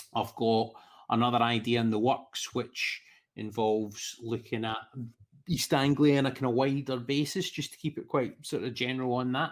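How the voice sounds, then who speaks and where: A man with a Scottish accent at a medium pitch and a fairly quick pace, on a very clean recording with a silent background. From Scotland. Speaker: football podcaster. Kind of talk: casual chat.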